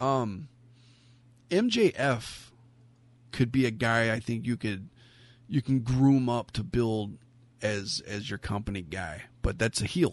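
A man at a medium pitch talks very slowly with long, frequent pauses and ordinary pitch variation over a quiet background. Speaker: wrestling podcast host. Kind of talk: casual chat. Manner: animated.

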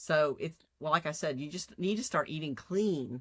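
In a very clean recording with a silent background, a woman with a very deep, low voice and a Texan accent uses lively intonation. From Texas, city. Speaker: guest, host's cousin. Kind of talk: casual chat.

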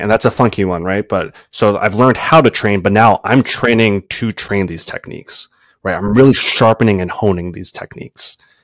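On a very clean recording with a silent background, a man with an American accent speaks in a plain, everyday voice at a fairly low pitch and a moderate pace, with ordinary pitch variation and a dry, close sound with no echo. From Brooklyn, New York and Pennsylvania. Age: 30s. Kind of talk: casual interview chat.

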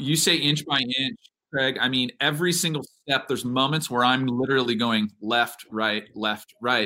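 A man's bright, sharp tone at a moderate pace, with very even loudness and ordinary pitch variation. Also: medium pitch for a man. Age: 40s. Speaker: triathlete, coach and pastor. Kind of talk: interview conversation.

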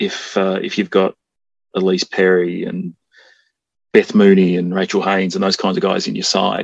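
The sound is dry and close, with no echo. A man speaks with an Australian accent. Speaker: musician and jingle maker. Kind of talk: casual chat.

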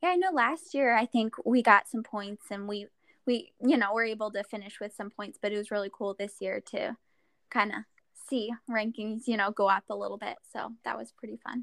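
In a Midwestern American accent, a woman speaks at a fairly high pitch and moderate pace, with ordinary pitch variation and big swings in loudness. The recording is very clean with a silent background and a dry, close sound with no echo. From Iowa, rural Central City. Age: 20s. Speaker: distance runner. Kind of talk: casual chat.

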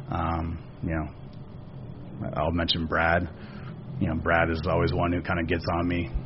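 Over noticeable background noise, someone with an American accent speaks at a fairly slow pace with fairly even intonation. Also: man, very deep, low pitch for a man. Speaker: racing operations director. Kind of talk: casual interview.

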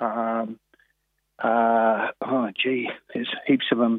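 A man with an Australian accent. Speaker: harness racing trainer. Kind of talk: phone interview. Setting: phone call. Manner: halting.

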